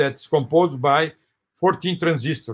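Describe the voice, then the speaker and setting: At a fairly slow pace, a man with a Portuguese accent speaks at a fairly high pitch with ordinary pitch variation. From Brazil. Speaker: professor. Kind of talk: lecture. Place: home room. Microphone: webcam.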